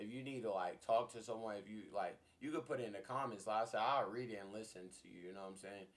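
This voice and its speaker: A man at a fairly quick pace, fairly low in pitch, with fairly even intonation. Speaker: YouTuber. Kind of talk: personal testimony. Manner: loud.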